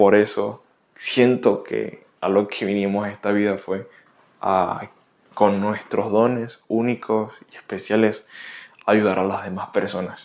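In a very clean recording with a silent background, a man with a fairly low pitch talks very slowly in a monotone, flat intonation. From Venezuela. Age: 20s. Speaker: podcast host. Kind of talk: motivational monologue.

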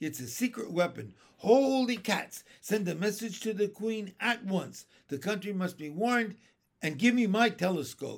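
Shouting in a put-on character voice, a man uses a high pitch with vocal fry, big pitch swings and a fairly slow pace.

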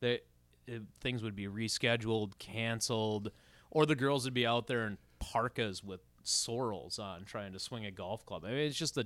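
Moderate pace from a man with an Upper Midwest accent, medium pitch and ordinary pitch variation, in a very clean recording with a silent background. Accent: Upper Midwest (Minnesota). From Minnesota, Rogers. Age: 40s. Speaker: podcast co-host. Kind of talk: casual chat.

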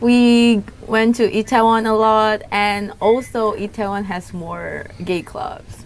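Woman's fairly high voice with an Indonesian accent, very slow yet with hardly any pauses, ordinary pitch variation. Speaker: YouTuber. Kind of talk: casual chat.

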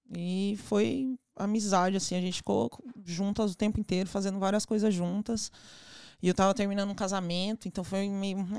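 In a very clean recording with a silent background, a woman talks in a normal speaking voice at a medium pitch. Her pace is moderate, her intonation fairly even, and the sound dry and close with no echo. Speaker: ice pop business owner. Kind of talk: casual chat.

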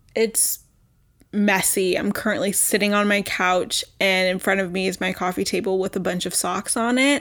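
A woman speaks at a medium pitch and moderate pace on a very clean recording with a silent background. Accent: American. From Texas. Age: 20s. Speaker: podcast host. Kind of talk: casual solo chat. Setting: at home. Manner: animated.

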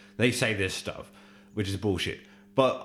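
Spoken at a moderate pace in an Australian accent, the voice has a bright, sharp tone. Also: man. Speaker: podcast co-host. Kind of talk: casual chat.

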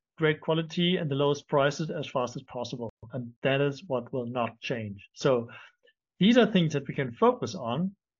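Speaking at a moderate pace, a man has a somewhat breathy voice and lively intonation. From Germany. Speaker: LinkedIn marketing agency founder. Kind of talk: interview.

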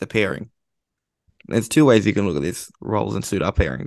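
Fairly quick speech with vocal fry, in an Australian accent. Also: man. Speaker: football writer. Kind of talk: casual chat.

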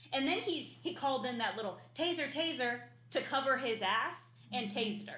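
In a raised, projected voice with a bright, sharp tone, a high-pitched woman with an American accent speaks at a moderate pace with lively intonation and audible room echo. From Arizona. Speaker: podcast co-host. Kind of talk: casual chat. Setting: apartment without AC.

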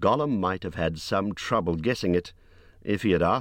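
Delivered in a natural reading voice, the speech has lively intonation.

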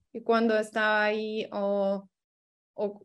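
A woman speaks with a Lithuanian accent. The background is quiet. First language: Lithuanian (speaking Spanish). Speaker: exchange program participant. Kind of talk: interview.

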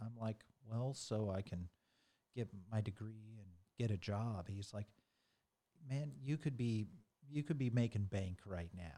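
Pausing long and often, a man with an American accent speaks at a fairly slow pace and fairly low pitch, with a dark, mellow tone and ordinary pitch variation. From US Midwest (rural Missouri). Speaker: IT executive and racing driving instructor. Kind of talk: interview. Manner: halting, many fillers.

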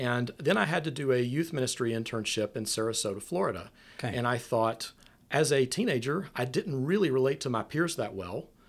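A man with a Southern US accent talks at a fairly quick pace in a medium pitch, his intonation lively, on a very clean recording with a silent background. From US South, Nashville, Tennessee. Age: 40s. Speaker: preaching minister. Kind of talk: casual chat.

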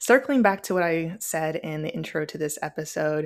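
At a moderate pace, a woman with an American accent speaks in a fairly low pitch. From Phoenix, Arizona and Springfield, Missouri. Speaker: podcast host. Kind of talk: personal monologue.

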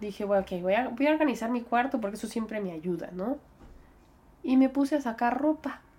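A woman's plain, everyday voice, fairly high in pitch, with ordinary pitch variation and a fairly quick pace. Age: 20s. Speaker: podcast host. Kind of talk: personal reflection monologue.

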